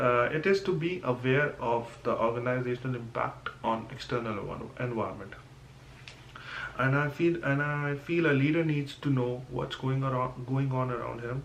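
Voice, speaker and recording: Audible room echo and noticeable background noise surround a man speaking at a moderate pace and medium pitch with fairly even intonation. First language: not English. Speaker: student. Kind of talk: class presentation podcast. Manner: halting.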